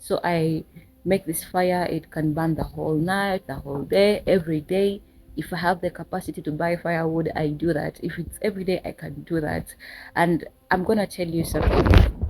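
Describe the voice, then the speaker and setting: Speaking at a moderate pace with a Ugandan accent, a woman uses a fairly low pitch and fairly even intonation in a very clean recording with a silent background. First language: Luganda. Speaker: spiritual teacher. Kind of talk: tutorial. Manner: casual.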